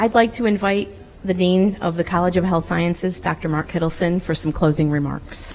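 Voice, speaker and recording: A woman's fairly low voice at a fairly quick pace, with fairly even intonation and noticeable background noise. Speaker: nursing faculty ceremony host. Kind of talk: ceremony hosting. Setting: ceremony with audience.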